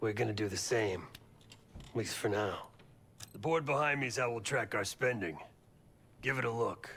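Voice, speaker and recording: A raspy, put-on character voice from a man, medium in pitch, at a moderate pace with long, frequent pauses. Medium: video game.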